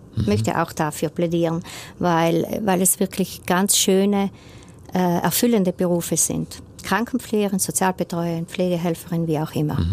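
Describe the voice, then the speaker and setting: A woman talks at a fairly low pitch and a moderate pace. Her loudness stays very even, with ordinary pitch variation. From South Tyrol, Rodeneck. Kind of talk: radio interview. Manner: hesitant, many fillers.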